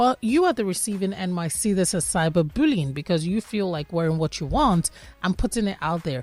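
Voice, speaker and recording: This woman speaks fairly quickly at a medium pitch, in a normal speaking voice. Her intonation is lively. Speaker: radio host. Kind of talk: radio interview.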